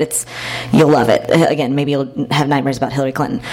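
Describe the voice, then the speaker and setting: With an American accent, a woman talks at a very fast pace. Noticeable background noise runs behind her. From Texas. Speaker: event moderator. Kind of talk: onstage interview. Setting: stage with audience.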